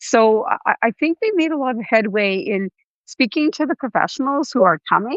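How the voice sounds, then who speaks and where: With a Canadian accent, a woman speaks at a moderate pace in a high pitch with very wide pitch swings. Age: 60s. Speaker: patient advocate. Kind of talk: podcast interview.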